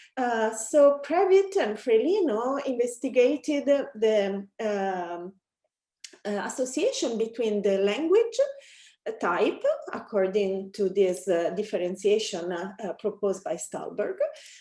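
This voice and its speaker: A woman with an Italian accent talks at a fairly high pitch and a fairly slow pace. Her tone is dark and mellow, with lively intonation. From Italy. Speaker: academic researcher. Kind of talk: academic presentation. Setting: webinar. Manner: many filler hesitations.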